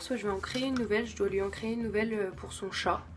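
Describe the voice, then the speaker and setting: A woman's fairly high, somewhat breathy voice with fairly even intonation, plus audible room echo. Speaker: craft channel youtuber. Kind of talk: casual channel introduction vlog. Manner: hesitant, many fillers and repetitions.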